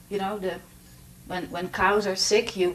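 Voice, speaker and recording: A woman speaks with a Dutch accent. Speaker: documentary filmmaker. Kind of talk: master class talk. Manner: halting, many fillers.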